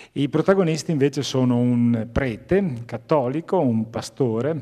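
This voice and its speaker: A man's dark, mellow tone with ordinary pitch variation against a quiet background. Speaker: moderator and theologian; moderator. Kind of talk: panel moderation. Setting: theatre stage with audience. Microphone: handheld.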